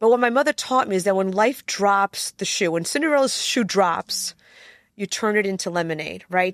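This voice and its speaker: Speaking at a moderate pace and medium pitch, a woman uses lively intonation. The recording is very clean with a silent background, and the sound is dry and close with no echo. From Poland, raised in US from age seven. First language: Polish. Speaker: attorney. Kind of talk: interview conversation.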